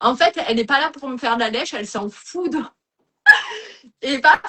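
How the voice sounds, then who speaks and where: Here is a woman with an animated tone. She talks at a very fast pace. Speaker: former sewing show contestant, sewing pattern designer. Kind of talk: casual chat. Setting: live stream interview. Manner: loud.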